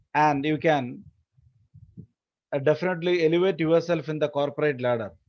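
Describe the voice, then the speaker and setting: A plain, everyday voice moves at a fairly quick pace with ordinary pitch variation. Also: man, fairly high pitch for a man. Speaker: finance education speaker. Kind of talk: lecture. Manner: formal.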